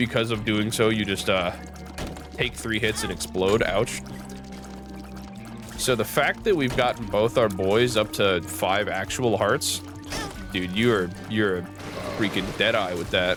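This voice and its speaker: Over music in the background, a man with a fairly low pitch and a relaxed tone talks at a fairly slow pace, using ordinary pitch variation and long, frequent pauses. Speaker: gaming commentator. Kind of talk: let's play commentary. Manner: casual, relaxed.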